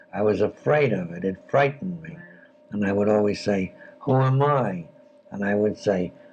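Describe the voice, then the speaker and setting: Music plays in the background as a man with a fairly low pitch speaks at a fairly slow pace with lively intonation. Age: 80s+. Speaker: writer. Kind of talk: interview answer.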